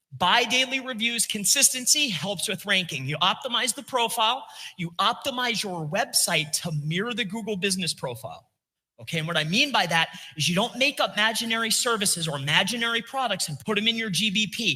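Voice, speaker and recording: A man speaks in a raised, projected voice at a high pitch and a fairly quick pace. His tone is bright, sharp and animated, with lively intonation. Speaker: SEO consultant giving a talk. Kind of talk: conference presentation with slides.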